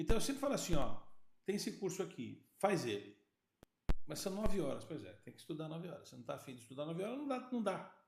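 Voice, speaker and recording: A man's high pitch at a very fast pace, with very wide pitch swings and big swings in loudness. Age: 60s. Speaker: podcast host and sales consultant. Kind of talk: casual chat.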